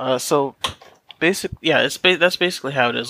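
In a bright, sharp tone, this man talks with an American accent. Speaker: engineering student podcast host. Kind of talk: casual chat.

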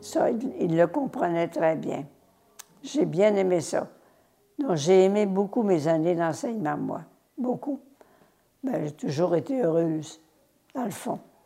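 Speaking very slowly with long, frequent pauses, a woman with a fairly low pitch makes very wide pitch swings. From Quebec, Saguenay (La Terrière near Chicoutimi). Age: 80s+. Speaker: nun, former teacher and missionary. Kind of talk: testimony.

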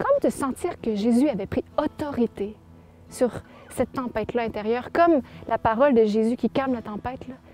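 A woman speaks at a high pitch with ordinary pitch variation, her voice dry and close with no echo against noticeable background noise. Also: moderate pace. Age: young. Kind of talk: testimony.

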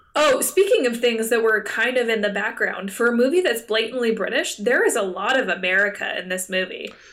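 A woman talks at a fairly quick pace with hardly any pauses, her fairly high voice lively in intonation. Noticeable background noise runs beneath her. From Canada. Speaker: podcast co-host. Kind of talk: casual chat. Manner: laughs often.

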